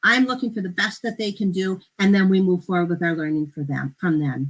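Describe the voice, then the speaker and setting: Lively intonation marks a woman of medium pitch speaking at a fairly quick pace. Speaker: education instructor. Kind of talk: conference presentation. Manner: fast; animated.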